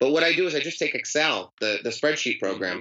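An unremarkable speaking voice belongs to a man who uses ordinary pitch variation. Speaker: author and storyteller. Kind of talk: interview conversation. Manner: conversational, storytelling.

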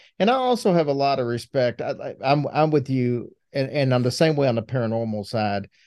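Against a quiet background, a man with an American accent speaks in an unremarkable speaking voice at a medium pitch, with hardly any pauses. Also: ordinary pitch variation. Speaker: podcast co-host. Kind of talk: casual chat.

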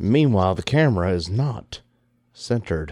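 A man speaks in a normal speaking voice at a moderate pace, with lively intonation. The recording is very clean, with a silent background. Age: middle-aged. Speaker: podcast co-host. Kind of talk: casual chat; show outro. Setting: studio.

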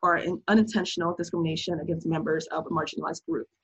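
With an American accent, a woman speaks at a fairly low pitch, showing vocal fry and ordinary pitch variation. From United States. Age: 20s. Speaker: friend of the host. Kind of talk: casual discussion. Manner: articulate.

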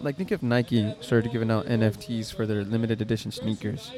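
Over noticeable background noise, a man at medium pitch speaks at a fairly quick pace. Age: 30s. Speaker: podcast host. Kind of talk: casual chat.

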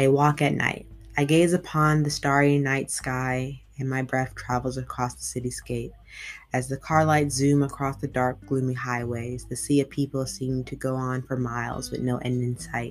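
Her pitch very deep and low, a woman speaks with monotone, flat intonation. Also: moderate pace. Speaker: podcast host and amateur poet. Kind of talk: poetry reading, read aloud from written pages. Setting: home recording, solo podcast. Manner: warm, casual, chatty when introducing.

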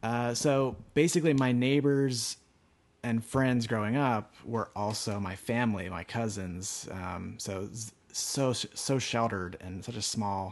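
A man with an American accent speaks at a medium pitch and a fairly slow pace. His pitch varies in an ordinary way, and he has an ordinary speaking voice. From rural Pennsylvania, US. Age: 20s. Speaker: artist. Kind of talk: interview storytelling.

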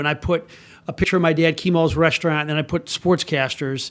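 A man with an American accent has a normal speaking voice at a fairly high pitch. His pitch variation is ordinary. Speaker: TV sports director. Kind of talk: casual chat.

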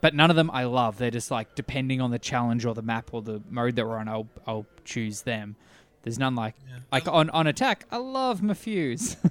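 A man talks at a medium pitch and moderate pace. It is a plain, everyday voice with ordinary pitch variation. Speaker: podcast host. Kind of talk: casual banter.

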